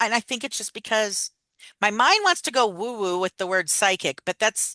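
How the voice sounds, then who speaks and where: A woman speaks loudly at a moderate pace, her animated, bright and sharp voice sitting fairly high with lively intonation. The background is quiet and the sound is dry and close, with no echo. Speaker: wellness podcast co-host. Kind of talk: casual chat.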